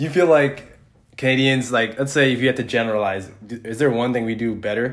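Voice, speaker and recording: The man has an ordinary speaking voice at a medium pitch. His intonation stays fairly even. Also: fairly quick pace. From Canada, Ottawa, Ontario. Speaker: podcast host and basketball player. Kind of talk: podcast interview.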